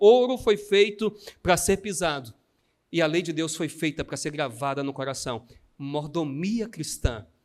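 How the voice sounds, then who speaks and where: A man with a Brazilian accent, animated in tone, in a very clean recording with a silent background. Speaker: pastor. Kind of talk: sermon.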